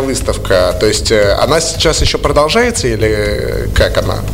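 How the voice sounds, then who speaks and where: There's a man talking at an even, moderate speed. Under his words, background noise is clearly audible. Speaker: radio host. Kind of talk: casual radio interview. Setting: studio.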